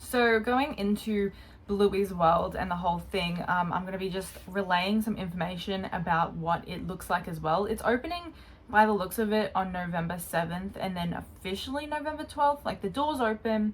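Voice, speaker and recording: With an Australian accent, a woman talks at a moderate pace in a somewhat breathy, medium-pitched voice with lively intonation. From Australia, Brisbane area. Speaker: YouTuber. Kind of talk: casual commentary video.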